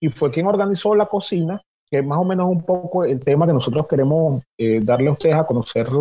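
This man has a Venezuelan accent and a fairly high pitch. He talks at a fairly quick pace with lively intonation. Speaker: cook and podcast co-host. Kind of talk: casual chat.

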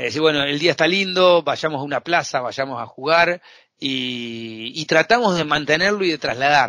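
A man speaks at a fairly high pitch with a bright, sharp tone. The sound is dry and close, with no echo. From Argentina. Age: 40s. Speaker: accountant and fintech consultant. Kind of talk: interview.

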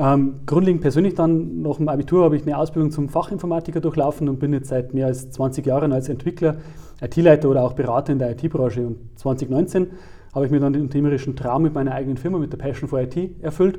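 Fast and dark, a man's mellow-toned voice moves at a very fast pace. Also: fairly high pitch for a man, ordinary pitch variation. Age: 40s. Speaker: IT consultant and author. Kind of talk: interview.

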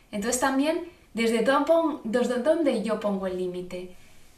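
Lively intonation comes through amid noticeable background noise and audible room echo. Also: woman. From Spain, Zaragoza. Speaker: nonviolent communication trainer and mother of triplets. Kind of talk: interview about parenting. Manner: halting, with frequent repetitions.

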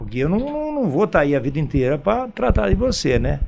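This man talks at a moderate pace with very wide pitch swings. His voice carries vocal fry. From Brazil, São Paulo state (Campinas/Indaiatuba). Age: 70s. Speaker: local shopkeeper and former athlete. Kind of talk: radio interview. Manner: halting, frequent repetitions.

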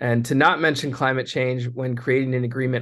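A man with an American accent and an unremarkable speaking voice talks at a moderate pace and medium pitch with fairly even intonation against a quiet background. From California, Monterey area. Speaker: trade justice activist, coalition director. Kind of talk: interview.

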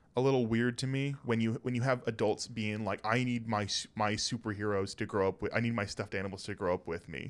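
A plain, everyday voice from a man at medium pitch, with ordinary pitch variation, a fairly quick pace and a very clean recording with a silent background. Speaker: podcast co-host. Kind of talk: casual chat.

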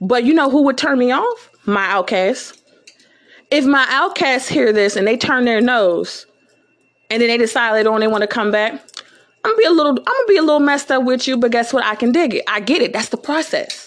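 A woman's high, animated voice at a fairly quick pace, with ordinary pitch variation. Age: 20s. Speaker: podcaster. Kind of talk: monologue.

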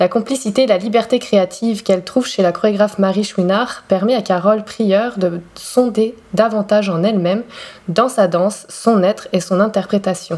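With noticeable background noise behind her, a woman talks at a moderate pace and medium pitch. Her intonation is fairly even and her loudness very even. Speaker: podcast host and dancer. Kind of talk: scripted introduction. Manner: elegant, poetic delivery.

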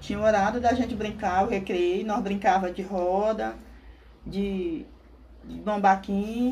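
With noticeable background noise and audible room echo, a woman at medium pitch speaks at a fairly slow pace with fairly even intonation, big swings in loudness, and long, frequent pauses. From rural Maranhão, Brazil. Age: 50s. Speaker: interviewee. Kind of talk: interview testimony.

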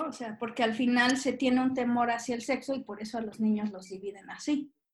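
Fairly high in pitch, a woman talks at a fairly quick pace with fairly even intonation. Hers is an unremarkable speaking voice. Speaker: podcast co-host. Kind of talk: casual chat.

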